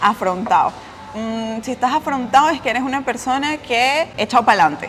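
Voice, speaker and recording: With music in the background, a woman with a Venezuelan accent talks at a high pitch and a fairly quick pace, her intonation lively. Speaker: travel vlogger. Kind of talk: casual conversation.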